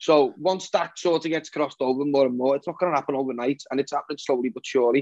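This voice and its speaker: A man with a fairly high voice talks at a very fast pace with hardly any pauses. The sound is dry and close, with no echo. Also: fairly even intonation. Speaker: singer-songwriter. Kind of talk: casual interview.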